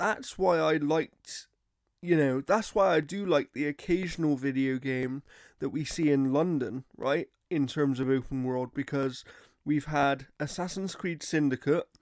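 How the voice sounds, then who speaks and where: On a very clean recording with a silent background, a man with a British accent speaks at a fairly high pitch with ordinary pitch variation. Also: fairly slow pace, dry, close sound with no echo. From Britain. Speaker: gaming podcast co-host. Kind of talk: casual chat.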